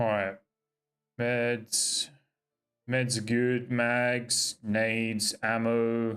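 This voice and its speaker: Music plays in the background as a man speaks in a monotone, flat voice. He goes at a very slow pace, with long, frequent pauses. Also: medium pitch for a man. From Australia, Sydney. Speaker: game streamer. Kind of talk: live gameplay commentary, chatting with viewers. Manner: casual, swearing banter.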